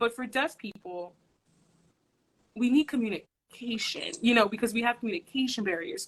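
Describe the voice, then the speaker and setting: At a moderate pace, a woman with a fairly high pitch uses lively intonation and leaves long, frequent pauses. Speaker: social worker. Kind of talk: casual chat. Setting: livestream video. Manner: loud.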